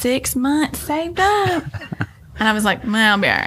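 A woman with an American accent talks at a moderate pace. Noticeable background noise sits behind her. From US South, Nashville. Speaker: real estate agent. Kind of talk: casual chat. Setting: studio. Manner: animated.

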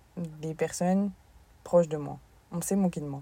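The voice is somewhat breathy, with a dark, mellow tone. It moves at a fairly slow pace with fairly even intonation. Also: woman. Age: 20s. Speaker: sports coach and podcaster. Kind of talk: casual monologue.

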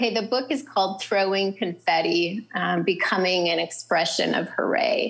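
With an American accent, a woman speaks at a medium pitch and moderate pace, with ordinary pitch variation, very even loudness and hardly any pauses, over noticeable background noise. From North Dakota. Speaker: writer and nonprofit co-founder. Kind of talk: casual interview. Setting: remote call from a public library.

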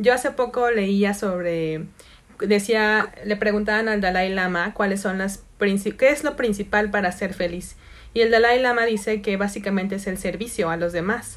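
A woman speaks with a Mexican accent. Her intonation stays fairly even. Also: medium pitch for a woman, moderate pace. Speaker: podcast host and meditation teacher. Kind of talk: casual chat.

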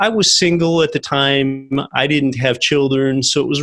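A man with a plain, everyday voice, fairly high-pitched, at a moderate pace with ordinary pitch variation. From Pennsylvania. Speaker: real estate investor and podcast host. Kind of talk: interview.

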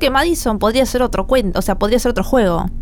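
With very wide pitch swings, a woman speaks at a high pitch in a Rioplatense accent. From Argentina, La Plata. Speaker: gaming streamer and podcast host. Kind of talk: casual chat.

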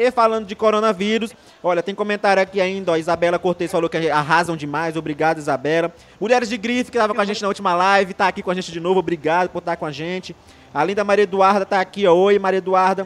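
A man talking at a very fast pace in a high pitch. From Brazil, Maranhão. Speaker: online show host. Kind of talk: casual live-stream chat. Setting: live stream with remote co-host. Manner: animated.

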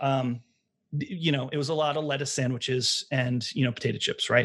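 In a normal speaking voice with an American accent, the speaker keeps a moderate pace and fairly even intonation. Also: man. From US Northeast (Long Island, New York). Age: 40s. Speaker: vegan baker and small business owner. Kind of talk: casual interview.

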